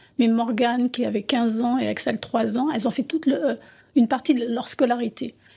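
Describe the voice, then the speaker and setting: A woman's high-pitched voice with a dark, mellow tone and fairly even intonation. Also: fairly quick pace. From France. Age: 60s. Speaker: artist and former teacher. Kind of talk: interview.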